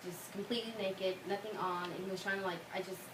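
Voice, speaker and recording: A woman of medium pitch speaks with monotone, flat intonation. Audible room echo and noticeable background noise surround her. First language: Spanish. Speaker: college student. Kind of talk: class speech; casual Q&A answer. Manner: halting.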